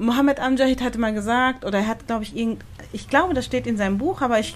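Here a woman talks at a fairly high pitch. Her pitch variation is ordinary. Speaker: podcast host. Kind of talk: casual interview conversation. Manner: hesitant, many fillers.

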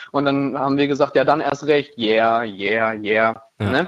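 Using a plain, everyday voice, a man speaks at medium pitch and a moderate pace with fairly even intonation. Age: 20s. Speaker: rock band frontman. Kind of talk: casual interview.

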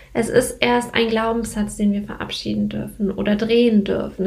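There is audible room echo on this recording. A woman speaks at a moderate pace. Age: 20s. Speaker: podcast host, business coach. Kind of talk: solo podcast monologue.

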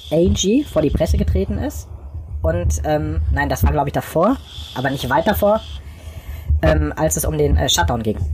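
Fairly slow delivery with long, frequent pauses over noticeable background noise. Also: man. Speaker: podcast co-host. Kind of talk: casual chat. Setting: remote call, recording on laptop. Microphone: laptop held close to face.

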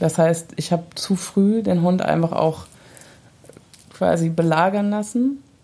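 The voice is dark, mellow and somewhat breathy, moving at a very slow pace with long, frequent pauses. Its loudness stays very even. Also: woman, fairly low pitch for a woman, ordinary pitch variation. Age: 30s. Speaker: dog owner and mother. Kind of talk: casual chat.

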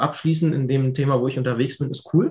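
A man talks at a fairly quick pace, somewhat breathy, with ordinary pitch variation. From Hannover, northern Germany. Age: 20s. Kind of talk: interview. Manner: casual.

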